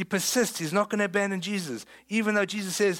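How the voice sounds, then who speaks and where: A man's high-pitched voice in a South African accent, with ordinary pitch variation. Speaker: pastor. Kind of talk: sermon. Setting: church.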